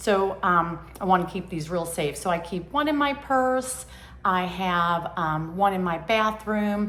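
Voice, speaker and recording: This woman's voice, with ordinary pitch variation, carries audible room echo. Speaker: lifestyle vlogger. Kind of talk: casual vlog monologue. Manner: hesitant, many fillers.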